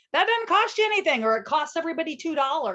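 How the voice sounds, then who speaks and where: A loud voice with a bright, sharp tone and very wide pitch swings. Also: woman. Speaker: podcast host, childcare consultant. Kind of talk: casual podcast chat.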